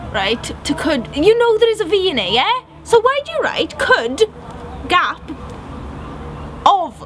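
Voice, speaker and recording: A woman's extremely high-pitched voice at a fairly slow pace, with very wide pitch swings, long, frequent pauses and noticeable background noise. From Wales. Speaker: vlogger. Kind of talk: casual chat. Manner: animated.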